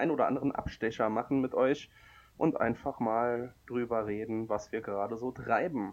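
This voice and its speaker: Speaking at a moderate pace, a man has an unremarkable speaking voice, medium in pitch with ordinary variation. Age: 20s. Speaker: comic podcast co-host and blogger. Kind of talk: casual chat.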